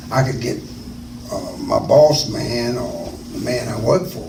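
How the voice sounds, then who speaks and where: Amid noticeable background noise and audible room echo, a man at a medium pitch talks with lively intonation. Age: 70s. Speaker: interviewee, school alumnus. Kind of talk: oral history interview. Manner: halting.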